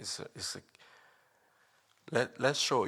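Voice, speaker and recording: On a very clean recording with a silent background, a man with a non-native accent speaks in a bright, sharp tone. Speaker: drumming tutorial youtuber. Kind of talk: tutorial. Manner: halting, with many fillers.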